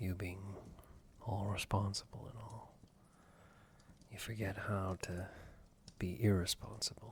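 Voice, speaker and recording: Somewhat breathy and monotone, the voice moves at a fairly slow pace with long, frequent pauses and big swings in loudness. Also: man, fairly low pitch for a man. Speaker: ASMR roleplay performer. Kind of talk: ASMR boyfriend roleplay. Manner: soft-spoken, comforting.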